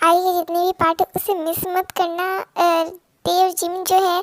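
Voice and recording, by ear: A woman speaks at a moderate pace in an extremely high pitch with little pitch movement. The sound is dry and close, with no echo.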